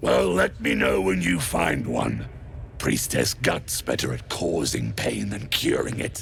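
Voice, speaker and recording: Clear background noise sits behind a man's put-on character voice. He speaks very deep and low at a fairly slow pace. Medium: video game. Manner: rough, sneering.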